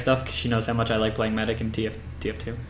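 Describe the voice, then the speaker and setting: A man speaks with a Canadian accent. Room echo is audible. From Windsor, Ontario, Canada. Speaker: podcaster and gaming youtuber. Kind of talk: casual video narration of photo slideshow. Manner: fast; hesitant, many fillers.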